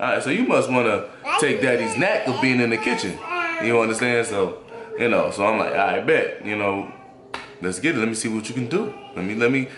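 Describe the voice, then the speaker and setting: Noticeable background noise sits behind a man who talks at a fairly quick pace. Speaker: father vlogger. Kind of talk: casual vlog chat. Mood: relaxed and cheerful. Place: kitchen. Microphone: phone near.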